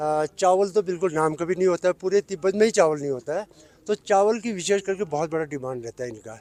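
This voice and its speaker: A man speaks with a high voice and lively intonation at a moderate pace. The sound is dry and close, with no echo. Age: 60s. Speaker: retired border trader. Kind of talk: news interview.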